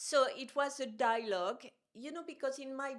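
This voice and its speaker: In a French accent, a woman talks at a moderate speed. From France. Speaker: art journalist and curator. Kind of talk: casual conversation. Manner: animated.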